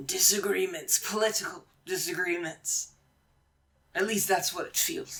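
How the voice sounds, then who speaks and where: A put-on character voice, raspy and at a middle pitch. The delivery moves at a moderate pace. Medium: actual play. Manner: terse, dry.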